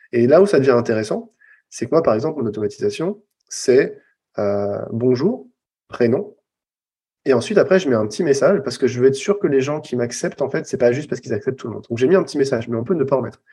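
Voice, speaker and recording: A man speaks at a very fast pace in a medium pitch with lively intonation. His tone is dark and mellow and somewhat breathy. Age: 40s. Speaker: copywriter and former recruiter. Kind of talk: interview.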